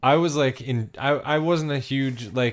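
On a very clean recording with a silent background, a man with an ordinary speaking voice talks at a fairly slow pace with ordinary pitch variation. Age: 30s. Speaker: hockey podcast co-host. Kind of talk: casual chat.

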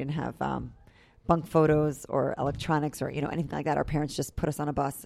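In an American accent, a woman speaks very fast with a very deep, low pitch, flat monotone intonation, vocal fry and a dark, mellow tone. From New York. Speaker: camp head counselor. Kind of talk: interview.

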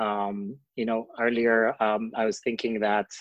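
Against a quiet background, a man with an Ethiopian accent speaks at a medium pitch. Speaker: asylum seeker. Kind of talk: interview.

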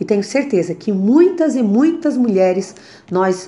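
A dark, mellow tone moves through very wide pitch swings at a fairly slow pace. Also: woman. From Santa Catarina, Brazil (Criciúma). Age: 40s. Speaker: politician. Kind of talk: testimony.

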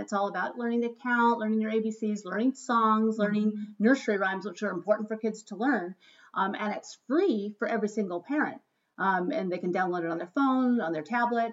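Here is a woman with an ordinary speaking voice at a fairly high pitch. She talks at a fairly quick pace with ordinary pitch variation. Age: 50s. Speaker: podcast host, school educator. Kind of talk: casual chat. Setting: at home.

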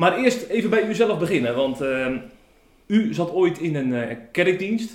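A man with a high pitch speaks at a fairly slow pace, using very wide pitch swings. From Zeeland, Tholen. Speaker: podcast host. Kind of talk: interview. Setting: at the pastor's home.

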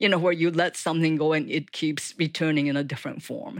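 A woman with a Japanese accent speaks at a fairly low pitch with ordinary pitch variation, on a very clean recording against a silent background. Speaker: author and writing professor. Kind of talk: interview.

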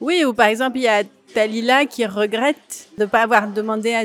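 A woman speaks in a normal speaking voice at a fairly slow pace. Her pitch is fairly high and her intonation fairly even. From France, Grenoble. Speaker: actress and author. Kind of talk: interview. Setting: café.

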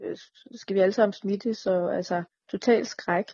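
This woman has a normal speaking voice. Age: 30s. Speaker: chronically ill patient sharing experience. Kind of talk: casual interview.

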